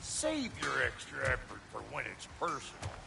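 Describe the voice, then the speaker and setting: A man puts on a gruff, drawling character voice at a fairly slow pace. Clear background noise can be heard. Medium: video game. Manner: folksy, gruff drawl.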